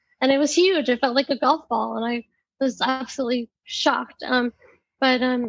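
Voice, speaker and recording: Her high voice moves at a moderate pace, and this woman keeps her intonation fairly even. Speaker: patient living with metastatic breast cancer. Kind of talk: podcast interview. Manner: hesitant, many fillers.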